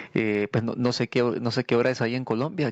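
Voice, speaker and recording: A man's medium-pitched voice at a fairly quick pace, fairly even intonation, dry and close with no echo. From El Salvador. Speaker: podcast co-host. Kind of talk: casual chat. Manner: halting.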